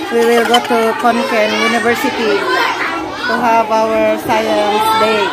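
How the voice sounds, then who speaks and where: Someone talks at a fairly slow pace over clear music in the background. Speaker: teacher on a school trip. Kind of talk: casual vlog chat. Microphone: phone near.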